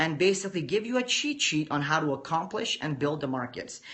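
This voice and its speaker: This man's pitch swings very widely, and noticeable background noise can be heard. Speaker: forex trader and trading educator. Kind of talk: live-stream lecture to viewers. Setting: live video stream. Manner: calm, measured teacher-like delivery.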